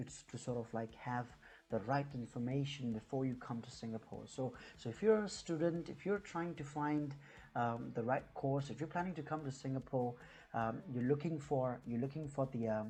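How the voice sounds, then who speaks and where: A man's somewhat breathy, dark, mellow voice at medium pitch, moderate pace and with ordinary pitch variation. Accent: Indian. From India (New Delhi). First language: Hindi. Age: 30s. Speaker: YouTuber and business owner. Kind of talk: casual vlog introduction. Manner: halting, many fillers and repetitions.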